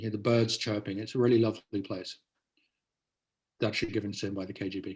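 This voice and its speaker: Speaking at a very fast pace yet with long, frequent pauses, a man uses a fairly low, somewhat breathy voice in a monotone, flat intonation. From Netherlands (British family). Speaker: author and journalist. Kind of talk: interview conversation.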